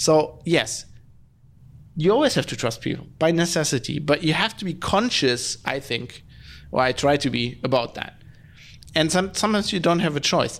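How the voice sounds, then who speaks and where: A man speaks with a German accent and lively intonation at a moderate pace. The recording is very clean, with a silent background. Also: fairly high pitch for a man. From Germany. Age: 30s. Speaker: podcast host. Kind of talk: solo podcast monologue. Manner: animated ranting; halting, many fillers and restarts.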